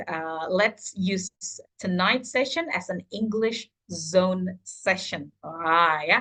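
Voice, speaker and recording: In a Javanese accent, a woman talks at a very slow pace with a bright, sharp tone. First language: Indonesian or Javanese. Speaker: teacher trainer. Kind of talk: online training session. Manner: hesitant, many fillers.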